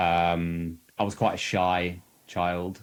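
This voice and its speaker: A man's very deep, low voice in a southern English accent, in a very clean recording with a silent background. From southern England, Bracknell near Reading. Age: 30s. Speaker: podcast guest with lived experience of anxiety. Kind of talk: casual interview chat. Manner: hesitant, many fillers.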